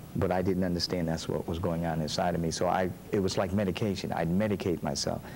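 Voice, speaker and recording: A man's very deep, low voice at a very fast pace, monotone and flat, with very even loudness. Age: 60s. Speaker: pastor. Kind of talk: interview. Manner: halting.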